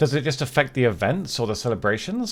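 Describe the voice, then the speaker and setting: Vocal fry runs through this man's voice as his pitch swings very widely. He talks at a fairly quick pace in a very clean recording with a silent background. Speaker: game streamer. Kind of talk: live gameplay commentary. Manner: fast.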